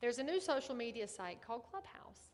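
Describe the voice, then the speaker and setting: A woman speaks in a Southern US accent. Her pitch is high. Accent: Southern US country. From US South. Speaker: real estate agent and ethics trainer. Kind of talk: online training class. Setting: live stream. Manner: animated.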